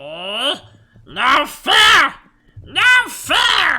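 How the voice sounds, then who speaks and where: A put-on character voice hisses and whines at a high pitch. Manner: hissing, whining.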